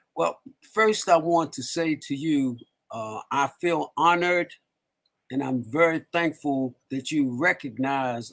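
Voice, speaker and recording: A man speaks at a very slow pace. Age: 60s. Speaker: community elder. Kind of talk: casual interview conversation. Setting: live stream.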